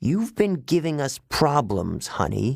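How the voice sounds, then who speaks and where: At a fairly slow pace, a put-on character voice hisses and growls. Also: man. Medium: read story. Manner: menacing, hissing.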